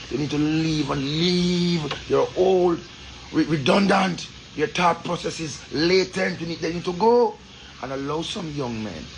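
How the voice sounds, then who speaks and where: A man with a Jamaican accent speaks at a fairly slow pace in a high voice with ordinary pitch variation, over noticeable background noise. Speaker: Rastafarian commentator. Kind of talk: social commentary monologue. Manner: impassioned.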